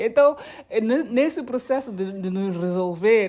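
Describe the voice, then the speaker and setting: Over noticeable background noise, a woman with a high pitch speaks with lively intonation. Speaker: podcast host. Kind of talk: podcast interview.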